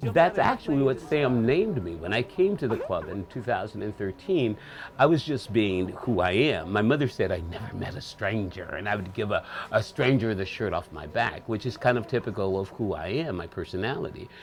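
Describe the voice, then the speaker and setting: The speaker talks at a fairly quick pace in an American accent, with lively intonation. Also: man, medium pitch for a man. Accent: proper, articulate speech. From Michigan, Detroit area. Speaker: actor and entertainer. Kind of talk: interview. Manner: articulate, proper-sounding.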